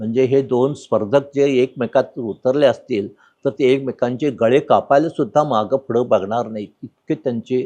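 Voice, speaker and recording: The sound is dry and close, with no echo. A man talks in a dark, mellow, medium-pitched voice with ordinary pitch variation. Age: 90s. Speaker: orthopaedic surgeon. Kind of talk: interview.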